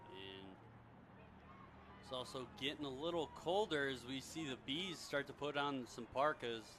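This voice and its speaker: In a Midwestern accent, a man with a fairly high pitch and a bright, sharp tone speaks at a moderate pace with lively intonation and long, frequent pauses. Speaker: play-by-play commentator. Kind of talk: live sports commentary.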